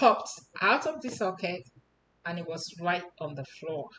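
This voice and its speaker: Speaking very slowly with lively intonation, a woman with a Nigerian accent keeps to a medium pitch. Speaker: personal storyteller. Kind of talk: personal testimony.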